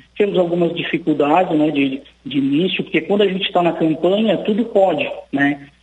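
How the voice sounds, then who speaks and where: Noticeable background noise accompanies a man whose high voice shows ordinary pitch variation. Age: 40s. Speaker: city council president. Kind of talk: radio interview. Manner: halting, many fillers.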